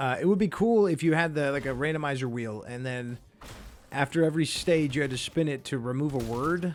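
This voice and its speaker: A man's fairly high pitch, ordinary pitch variation, and fairly quick pace. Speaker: gaming streamer. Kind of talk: gameplay commentary. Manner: fast; casual, rambling with filler words.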